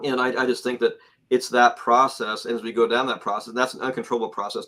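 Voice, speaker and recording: Talking at a very fast pace, a man has a medium pitch and a bright, sharp tone. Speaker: guest on a UFO talk show. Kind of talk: casual interview chat. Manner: halting, many repeated words.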